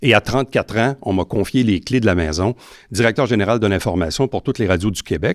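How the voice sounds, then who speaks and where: In a very clean recording with a silent background and a dry, close sound with no echo, a man with a plain, everyday voice speaks fairly quickly at a fairly low pitch with lively intonation. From Quebec, Saint-Jean-sur-Richelieu. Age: 50s. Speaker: mayoral candidate, former broadcaster. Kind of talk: campaign debate interview. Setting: host's garage.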